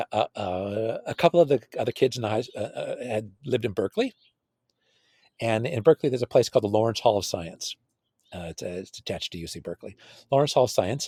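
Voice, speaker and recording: A man with an American accent talks at a very fast pace in a somewhat breathy, medium-pitched voice, with lively intonation and big swings in loudness, in a dry, close sound with no echo. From California. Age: 60s. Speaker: computer science researcher. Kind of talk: interview conversation. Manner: halting, many repetitions.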